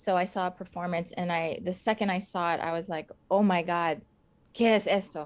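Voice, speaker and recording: With an American accent, a woman speaks at a moderate pace and a medium pitch with fairly even intonation. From US West Coast, Los Angeles. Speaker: actress and stunt performer. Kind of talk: interview. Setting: live stream interview.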